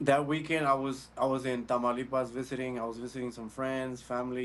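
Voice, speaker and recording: This man talks at a fairly quick pace with an American accent. His voice sits at a medium pitch. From Texas, Houston area. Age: 30s. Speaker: deportee sharing story. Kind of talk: interview testimony.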